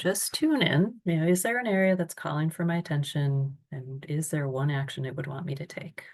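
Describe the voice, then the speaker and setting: A woman with a fairly low, somewhat breathy voice talks with hardly any pauses. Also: ordinary pitch variation, moderate pace. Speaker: self-care workshop presenter. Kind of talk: online seminar presentation.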